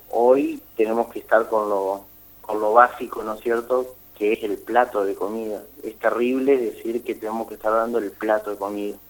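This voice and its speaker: The speech comes at a moderate pace in a flat monotone, with noticeable background noise. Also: man, medium pitch for a man. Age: 30s. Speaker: social activist. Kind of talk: radio interview.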